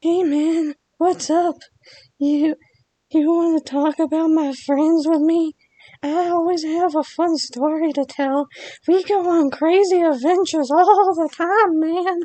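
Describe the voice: Extremely high-pitched put-on character voice. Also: fairly slow pace.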